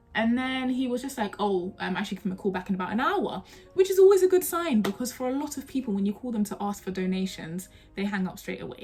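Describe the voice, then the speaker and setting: Over noticeable background noise, a woman speaks very fast. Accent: South London. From South London. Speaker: trainee solicitor and YouTuber. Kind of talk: casual storytelling vlog. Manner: conversational, chatty.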